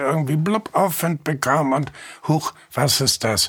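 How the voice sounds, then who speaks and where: Speaking at a very slow pace, a man uses a fairly high pitch with ordinary pitch variation while noticeable background noise is present. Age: 80s+. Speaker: journalist and novelist. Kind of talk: interview.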